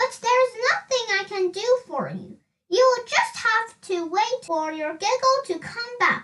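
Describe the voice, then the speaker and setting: Putting on a squeaky character voice, a woman speaks fairly slowly at an extremely high pitch with lively intonation. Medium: read story.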